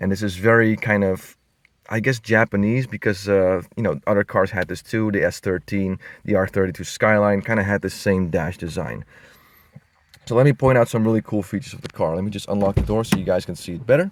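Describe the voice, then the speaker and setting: With a non-native accent, the speaker moves at a fairly quick pace with ordinary pitch variation, in a very clean recording with a silent background and a dry, close sound with no echo. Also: man, fairly low pitch for a man. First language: not English. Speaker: car enthusiast YouTuber. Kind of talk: car walkaround review. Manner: casual, hesitant with many fillers.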